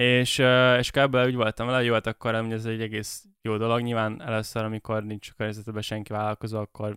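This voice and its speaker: A man at a very fast pace, bright and sharp in tone, flat and monotone, with a dry, close sound and no echo. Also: very clean recording, silent background. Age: 20s. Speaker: webshop entrepreneur. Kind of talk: casual business interview. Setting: studio. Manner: hesitant, many fillers.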